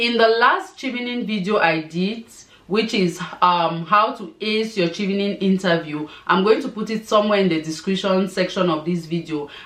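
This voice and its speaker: Noticeable background noise sits behind a woman speaking at medium pitch. She talks at a moderate pace with ordinary pitch variation. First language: not English. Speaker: scholarship advice vlogger. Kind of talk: tutorial.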